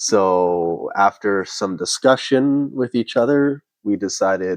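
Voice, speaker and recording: In a dry, close sound with no echo and a quiet background, a man with a Canadian accent uses an ordinary speaking voice, fairly low in pitch, with lively intonation. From Canada. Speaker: vlogger. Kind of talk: casual chat.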